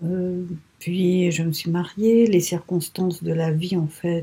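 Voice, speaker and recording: In a Telugu accent, a woman speaks very slowly, her fairly low voice somewhat breathy with a dark, mellow tone. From Mauritius. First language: Telugu (speaking French). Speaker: writer. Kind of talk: interview. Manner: halting, many hesitations.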